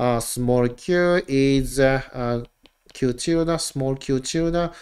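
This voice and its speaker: A man speaks with ordinary pitch variation over a quiet background. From Japan. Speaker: university professor. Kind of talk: lecture. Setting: online live-streamed lecture. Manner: casual, filler-heavy.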